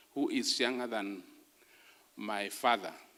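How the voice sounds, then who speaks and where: A man speaks with audible room echo. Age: 60s. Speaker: academic speaker. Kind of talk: lecture.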